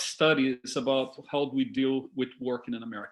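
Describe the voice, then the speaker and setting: At a moderate pace, a man of medium pitch speaks with a Brazilian Portuguese accent. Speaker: discussion leader. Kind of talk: talk to a discussion group. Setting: video call. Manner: halting.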